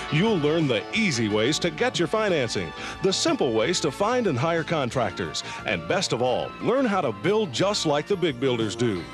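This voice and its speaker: Over music in the background, a man in an upbeat tone moves at a moderate pace, his pitch swinging very widely while his loudness stays very even. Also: fairly high pitch for a man. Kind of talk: TV commercial read.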